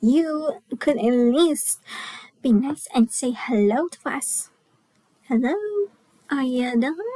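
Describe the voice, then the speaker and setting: Putting on a squeaky character voice at a high pitch, a woman talks at a fairly slow pace with long, frequent pauses. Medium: read story. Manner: blunt, outspoken.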